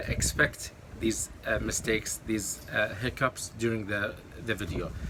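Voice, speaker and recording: A man speaks at a fairly slow pace with an Arabic accent. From Kuwait, with eleven years in London. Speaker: YouTuber and online course coach. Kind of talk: talking-head advice video. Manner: hesitant with many fillers and self-corrections.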